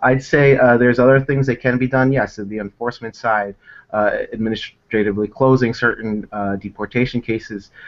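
This man has an American accent and a medium pitch. He keeps a moderate pace with fairly even intonation. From United States. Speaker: immigration lawyer. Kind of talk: interview. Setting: video call. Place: office. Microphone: video call.

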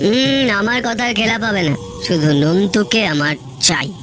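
A man does a put-on character voice with a high pitch at a moderate pace. Loud background noise sits behind it. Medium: audio drama. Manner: authoritative.

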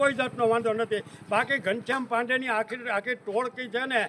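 Over noticeable background noise, a man uses a raised, projected voice with fairly even intonation. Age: 70s. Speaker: farmers' union leader and activist. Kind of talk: protest statement to press. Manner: forceful, agitated.

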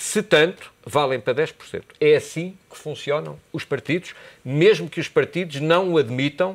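A man talking at a fairly slow pace, with ordinary pitch variation and big swings in loudness. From Portugal. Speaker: university lecturer and commentator; university lecturer, commentator. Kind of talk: TV political debate. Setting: TV studio. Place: studio. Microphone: lapel.

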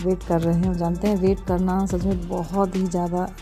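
A woman's fairly low, monotone voice with flat intonation at a fairly slow pace, clear music in the background. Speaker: vlogger. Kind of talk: casual vlog chat. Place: hall. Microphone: phone near.

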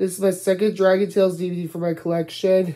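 Moderate pace from a woman. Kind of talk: casual vlog chat. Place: home room. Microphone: phone near.

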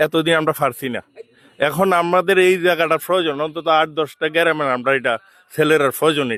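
Bright and sharp in tone, a man's fairly high voice keeps a fairly even intonation. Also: dry, close sound with no echo. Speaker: elderly villager. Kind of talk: on-the-spot interview. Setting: outdoors at a protest.

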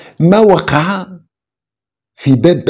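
A man speaks in a dark, mellow tone. The background is quiet. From Morocco. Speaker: online show host; channel host. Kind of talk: political commentary. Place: home room.

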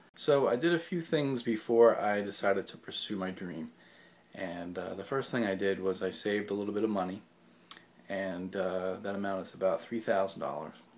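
A man with a fairly low pitch talks at a moderate pace, his pitch varying an ordinary amount while his loudness swings widely. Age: 40s. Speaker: actor. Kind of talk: video diary. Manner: halting, many fillers.

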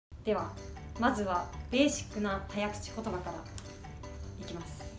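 A woman at a moderate pace over clear background music. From Niigata, Japan. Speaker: TV announcer. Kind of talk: casual talk to camera. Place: meeting room.

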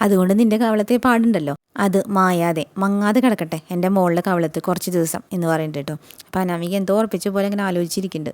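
A woman speaks in a plain, everyday voice of medium pitch with ordinary pitch variation, recorded with a dry, close sound and no echo. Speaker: serial recap youtuber. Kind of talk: episode recap narration. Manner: casual, conversational.

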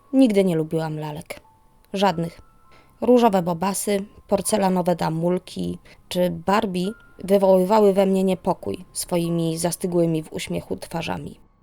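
A woman keeps a moderate pace and fairly even intonation while music plays behind her. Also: medium pitch for a woman, big swings in loudness. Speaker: narrator. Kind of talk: horror story narration.

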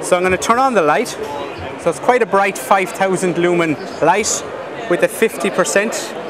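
A man talks in a high pitch at a fairly slow pace, with ordinary pitch variation. Noticeable background noise runs behind him. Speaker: exhibitor demonstrating a product. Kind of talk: product demo. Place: hall.

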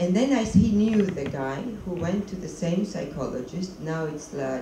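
A woman speaks at a moderate pace with lively intonation. Audible room echo and noticeable background noise accompany her. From Georgia. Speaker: documentary filmmaker. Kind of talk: post-screening Q&A. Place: stage.

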